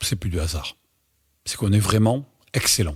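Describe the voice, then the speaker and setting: A man talks at a moderate pace with ordinary pitch variation. The recording is very clean with a silent background, and the sound is dry and close with no echo. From southwest France, Dordogne (Bergerac). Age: 60s. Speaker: swimming club president. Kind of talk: interview. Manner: hesitant, frequent fillers.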